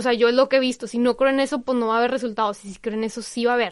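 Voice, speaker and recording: A woman's high-pitched voice is heard against a quiet background. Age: 20s. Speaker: communications worker in education, Lyme disease patient. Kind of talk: interview.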